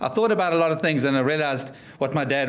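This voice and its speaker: Speaking at a fairly quick pace with a South African accent, a man shows ordinary pitch variation amid audible room echo. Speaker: motivational speaker. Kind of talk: keynote speech. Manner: energetic.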